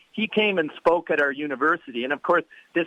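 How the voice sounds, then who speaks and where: A man talks at a very fast pace. His fairly high voice shows ordinary pitch variation. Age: 60s. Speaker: professor. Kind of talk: interview. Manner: halting, many fillers.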